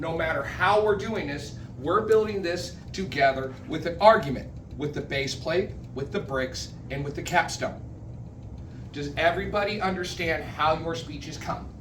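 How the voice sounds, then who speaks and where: A man with a fairly high pitch and ordinary pitch variation, with audible room echo and noticeable background noise. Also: moderate pace. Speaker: public speaking club member giving educational session. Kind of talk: educational talk to a club. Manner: casual, self-interrupting.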